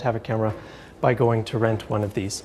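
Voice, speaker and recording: A man talking at a fairly quick pace. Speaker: university lecturer. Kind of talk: lecture. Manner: fast.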